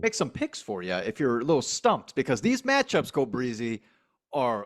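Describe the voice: The pace is moderate. Pitch swings very widely from high to low. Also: man, medium pitch for a man.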